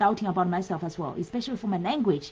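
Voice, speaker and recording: With a Chinese accent, a woman speaks in a somewhat breathy, medium-pitched voice with ordinary pitch variation. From China. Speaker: business coach. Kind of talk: live webinar talk. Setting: Facebook live stream. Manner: halting, many fillers.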